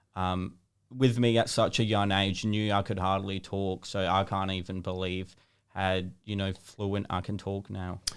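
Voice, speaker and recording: In an Australian accent, a man speaks at a fairly slow pace. His pitch is fairly low, and his intonation is monotone and flat. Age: 20s. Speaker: social media video creator. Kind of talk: interview. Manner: articulate, well-spoken.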